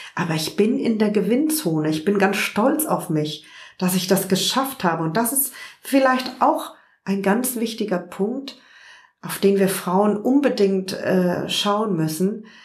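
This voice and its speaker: At a very slow pace, a woman talks with lively intonation and a somewhat breathy voice. Audible room echo surrounds her. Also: medium pitch for a woman. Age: 50s. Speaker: journalist and online magazine founder. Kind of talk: interview. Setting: at her home.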